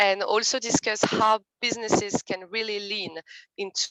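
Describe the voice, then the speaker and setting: Speaking at a moderate pace, a woman with a French accent has a bright, sharp tone. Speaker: committee co-leader. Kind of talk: event introduction.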